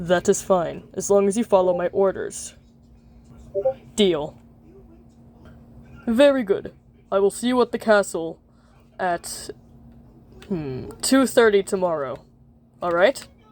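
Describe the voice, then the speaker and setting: A cartoonish character voice, female-sounding and medium-pitched for a woman, at a fairly slow pace with long, frequent pauses. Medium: puppet show. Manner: formal, stiff, dignified.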